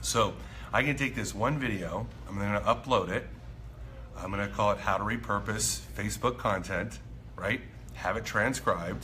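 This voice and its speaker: Long, frequent pauses break up a man's moderate-paced speech over light background noise. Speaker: marketing coach. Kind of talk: casual vlog chat. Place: cafe. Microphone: phone near.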